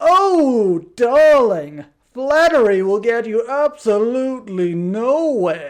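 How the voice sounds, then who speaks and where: A theatrical, put-on character voice, fairly high in pitch with very wide pitch swings, at a very slow pace. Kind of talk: affected, posh. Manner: theatrical, flamboyant, drawling.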